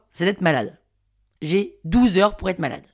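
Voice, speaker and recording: A woman speaks at a very fast pace. The recording is very clean, the background silent. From Paris, France. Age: 30s. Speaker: podcast storyteller. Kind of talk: scripted narration.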